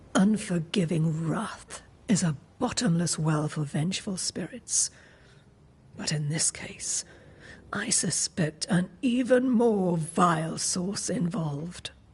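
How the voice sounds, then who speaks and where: This female-sounding voice is a put-on character voice pitched fairly low for a woman. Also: fairly slow pace. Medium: video game. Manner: cryptic, knowing.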